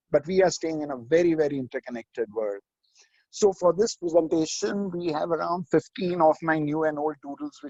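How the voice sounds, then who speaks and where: At a fairly quick pace, a man with a normal speaking voice talks at a fairly high pitch. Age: 60s. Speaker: management speaker. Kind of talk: webinar presentation. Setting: remote video call.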